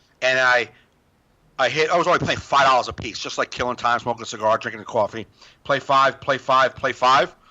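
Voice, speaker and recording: Speaking at a fairly quick pace, a man uses an animated, bright and sharp tone at a medium pitch. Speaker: stand-up comedian. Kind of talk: casual chat. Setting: video call.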